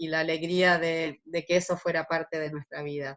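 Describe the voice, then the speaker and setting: A woman talks fairly slowly, keeping her intonation fairly even. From Argentina. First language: German (speaking Spanish). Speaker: interviewee, artist. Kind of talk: interview.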